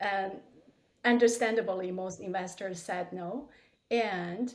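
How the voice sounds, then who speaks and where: With a non-native accent, a woman talks very slowly at medium pitch with fairly even intonation, and audible room echo is present. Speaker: medical device company CEO. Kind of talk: interview. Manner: hesitant with fillers.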